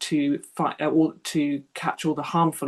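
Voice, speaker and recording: A woman talks at a moderate pace with vocal fry. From southern England, Sussex. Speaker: wildlife artist and author. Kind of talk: public talk. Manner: hesitant, with fillers.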